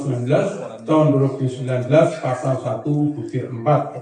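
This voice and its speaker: The speech moves at a fairly quick pace. Room echo is audible. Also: man. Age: 60s. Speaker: anti-corruption agency official. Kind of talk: formal ceremonial speech. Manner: formal.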